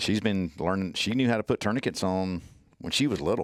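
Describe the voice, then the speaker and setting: In a strong Southern US accent, a man talks at a fairly quick pace, his very deep, low pitch showing ordinary variation. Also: very clean recording, silent background. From US South, Mississippi (Natchez, Hattiesburg). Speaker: trauma medicine instructor and ER nurse. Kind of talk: casual podcast interview. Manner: animated, repeats words.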